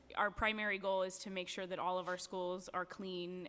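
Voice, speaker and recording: A woman talks with monotone, flat intonation. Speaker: education department official. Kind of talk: formal testimony at a public hearing. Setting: council chambers hearing. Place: hall. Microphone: podium.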